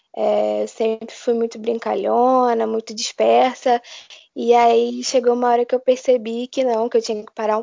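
At a moderate speed, a woman speaks in a fairly high pitch. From Brazil, Rio de Janeiro. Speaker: medical student. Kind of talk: interview.

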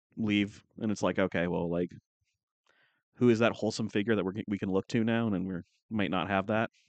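Against a quiet background, a man talks at a fairly quick pace and fairly low pitch with fairly even intonation. He leaves long, frequent pauses in a dry, close sound with no echo. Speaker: podcast co-host. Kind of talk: casual chat. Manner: joking, sarcastic.

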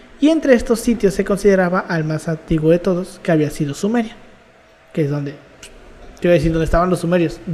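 A very fast pace in a Mexican accent, broken by long, frequent pauses. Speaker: university student, podcast host. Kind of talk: casual chat.

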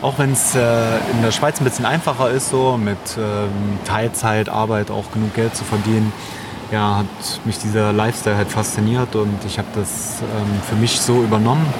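Noticeable background noise runs under the recording. A man speaks in a fairly low voice with fairly even intonation. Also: moderate pace. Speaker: podcast host. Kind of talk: casual chat. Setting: outdoors by the sea on a Thai island.

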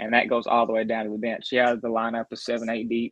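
The speaker has a Southern US accent. The delivery comes at a very fast pace. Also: man. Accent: Southern US, noticeable. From Grayson County, central Kentucky. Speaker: sports blogger and analyst. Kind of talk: casual sports chat.

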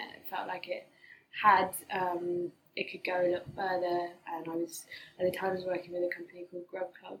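Over noticeable background noise, a woman talks fairly quickly in a flat monotone at a fairly low pitch, with long, frequent pauses and big swings in loudness. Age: 30s. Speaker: yoga teacher and events founder. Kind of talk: casual chat.

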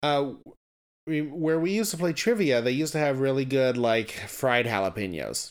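This man has a normal speaking voice, pitched fairly high, with lively intonation. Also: moderate pace, very even loudness. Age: 30s. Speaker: podcast co-host, former math teacher. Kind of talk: casual chat.

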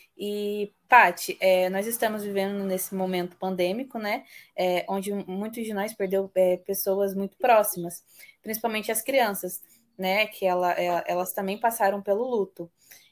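Against a silent background in a very clean recording, a woman speaks at a fairly slow pace with a medium pitch and monotone, flat intonation. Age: 20s. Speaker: podcast host. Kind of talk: interview.

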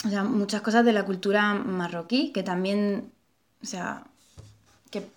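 Delivery is at a moderate pace. The intonation is fairly even throughout. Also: woman. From Melilla, Spain. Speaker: artist and bookseller. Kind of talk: casual conversation. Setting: at her home. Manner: hesitant, repeats words.

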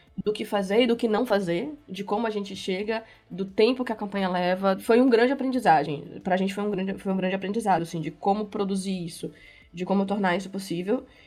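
This woman speaks at a medium pitch and a fairly quick pace, with ordinary pitch variation. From Bahia, Brazil. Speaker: game developer. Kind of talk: casual interview.

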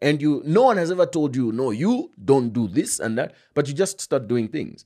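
A man talks at a moderate pace with very wide pitch swings, captured in a very clean recording against a silent background. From Zambia. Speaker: journalist. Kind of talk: casual interview conversation.

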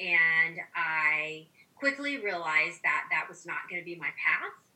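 With noticeable noise behind it, the speech shows ordinary pitch variation. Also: woman. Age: 50s. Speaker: physician. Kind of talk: interview.

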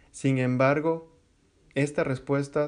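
Against a quiet background, a man speaks in a normal speaking voice at a fairly slow pace. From Ecuador, Quito. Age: 30s. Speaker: podcast host. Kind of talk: personal monologue.

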